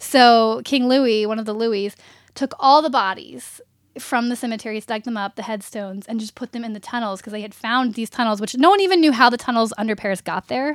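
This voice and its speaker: In a normal speaking voice, a woman with an American accent talks at a fairly quick pace. Her pitch is fairly high with ordinary variation, and her loudness swings widely. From US South, Richmond, Virginia. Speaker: writer and actress. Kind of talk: casual interview chat. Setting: at the guest's home.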